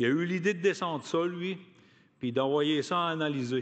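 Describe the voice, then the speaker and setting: His pitch fairly high and ordinary in its variation, a man speaks in a normal speaking voice. He keeps a moderate pace. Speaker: union activist, award recipient. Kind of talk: acceptance speech.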